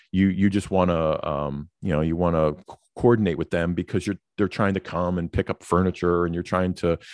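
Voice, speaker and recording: A man's very deep, low voice with an American accent, fairly quick pace and ordinary pitch variation, recorded dry and close with no echo against a quiet background. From New York. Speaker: podcast co-host. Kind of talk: casual chat. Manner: hesitant, many fillers.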